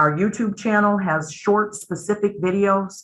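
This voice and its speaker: Her intonation is fairly even. The woman holds a medium pitch. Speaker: company presenter at a member town hall. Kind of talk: webinar presentation with Q&A. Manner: fast.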